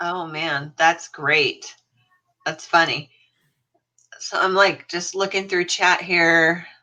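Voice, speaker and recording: Speaking at a very slow pace with long, frequent pauses, a woman uses a fairly low pitch, a bright, sharp tone and monotone, flat intonation. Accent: American. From California. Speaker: YouTuber co-hosting a live stream. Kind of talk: casual chat. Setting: online live stream.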